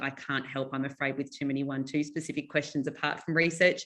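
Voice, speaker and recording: Against a quiet background, a woman with an Australian accent speaks fairly quickly in a bright, sharp tone and a very deep, low pitch. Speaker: psychology teacher and textbook author. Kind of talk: webinar presentation. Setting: online webinar. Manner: fast.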